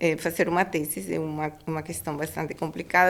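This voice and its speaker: With a Spanish accent, a woman talks at a moderate pace. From Panama. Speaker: food industry regulatory professional. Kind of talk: interview. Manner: halting.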